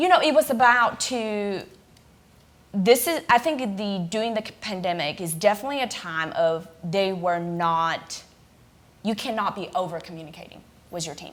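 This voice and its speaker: A woman talks with a non-native accent at a moderate pace. Her pitch swings very widely. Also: medium pitch for a woman, big swings in loudness. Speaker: business owner on leadership panel. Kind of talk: panel discussion.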